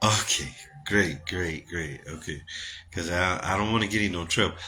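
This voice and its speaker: An American-accented man at a moderate pace, his tone animated. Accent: Gullah Geechee dialect. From US South, Gullah Geechee community. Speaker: live-stream host and bishop. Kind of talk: casual live-stream chat. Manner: animated, repetitive.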